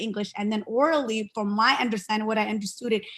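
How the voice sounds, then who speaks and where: This woman has a Somali accent and a fairly high pitch. Her tone is bright and sharp. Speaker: parent and bilingual school aide. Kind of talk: virtual town hall discussion. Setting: video call.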